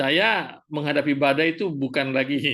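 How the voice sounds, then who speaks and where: A man speaks against a quiet background. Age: 60s. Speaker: cell group member. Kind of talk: group discussion.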